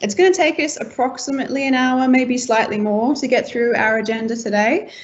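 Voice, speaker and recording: In an Australian accent, a woman with a high pitch talks at a moderate pace with ordinary pitch variation, and audible room echo surrounds her. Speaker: team-building game facilitator. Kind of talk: online event facilitation.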